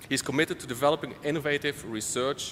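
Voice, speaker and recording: Noticeable background noise surrounds a man speaking with a Dutch accent. His voice is fairly high, with ordinary pitch variation and a fairly quick pace. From Netherlands. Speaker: conference session chair. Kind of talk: speaker introduction.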